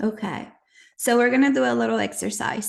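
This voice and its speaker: Here a woman speaks with a non-native accent and fairly even intonation. The background is quiet. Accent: noticeable non-native. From Nicaragua. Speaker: audio chat host. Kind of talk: casual chat. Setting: live online audio room.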